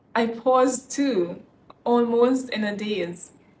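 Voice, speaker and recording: Raised, projected voice of a woman. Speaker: spoken word poet. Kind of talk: poetry reading. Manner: slow, expressive.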